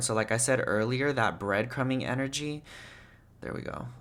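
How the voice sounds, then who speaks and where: Medium pitch from a man, with ordinary pitch variation. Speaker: tarot reader. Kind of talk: tarot reading video. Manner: fast; casual.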